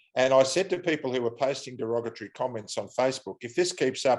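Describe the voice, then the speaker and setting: A man with an Australian accent at a very fast pace, medium pitch, ordinary pitch variation and hardly any pauses. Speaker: airline pilot. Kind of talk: interview.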